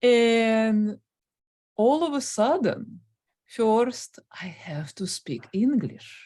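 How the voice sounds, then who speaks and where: Her voice is fairly high in pitch, with a dark, mellow tone and lively intonation. The woman talks at a very slow pace, with big swings in loudness. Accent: Russian. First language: Russian. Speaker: guest on stuttering channel. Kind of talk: interview. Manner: stutters.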